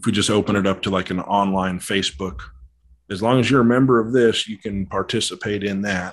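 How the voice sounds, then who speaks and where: Against a quiet background, a man with an American accent and an unremarkable speaking voice talks fairly quickly at a fairly low pitch. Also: ordinary pitch variation. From Colorado. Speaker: model aircraft pilot. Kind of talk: casual chat.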